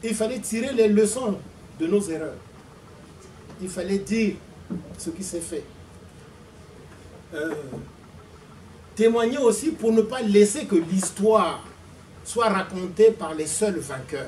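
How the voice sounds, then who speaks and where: A man's high voice at a very slow pace, with long, frequent pauses, big swings in loudness and noticeable background noise. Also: ordinary pitch variation. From Congo-Brazzaville. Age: 60s. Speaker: author and former activist. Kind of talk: testimony.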